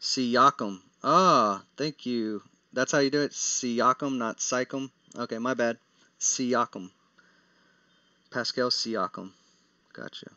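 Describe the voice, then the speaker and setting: A man with a Texas accent talks at a medium pitch with ordinary pitch variation. His pace is very slow, broken by long, frequent pauses. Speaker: daily fantasy sports analyst. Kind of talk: live stream Q&A. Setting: live stream. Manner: casual, with frequent fillers and restarts.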